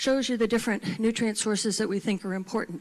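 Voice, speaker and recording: Using a plain, everyday voice, this woman keeps her pitch fairly high and her intonation fairly even. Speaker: marine scientist. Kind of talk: conference presentation.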